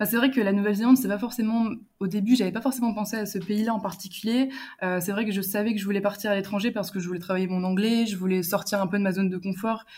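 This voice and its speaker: A very fast, somewhat breathy delivery with fairly even intonation. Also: woman, very clean recording, silent background. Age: 20s. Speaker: student traveller. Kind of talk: casual interview.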